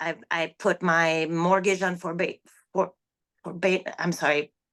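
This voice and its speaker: In a non-native accent, a woman talks at a fairly slow pace against a quiet background. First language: not English. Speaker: online seller. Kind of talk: interview. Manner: halting.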